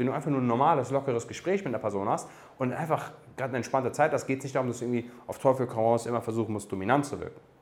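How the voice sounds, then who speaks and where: A man's medium-pitched voice at a very fast pace. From Germany, Darmstadt (Hesse). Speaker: dating coach, podcast host. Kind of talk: Q&A monologue, coaching advice. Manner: casual with frequent fillers (ähm).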